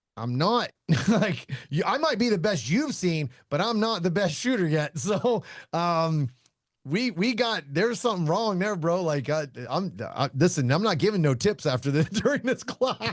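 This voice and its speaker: Against a quiet background, the voice makes very wide pitch swings. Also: man, high pitch for a man, moderate pace, very even loudness. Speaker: shooting instructor and podcast host. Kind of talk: casual podcast chat. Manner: loud; casual, slangy.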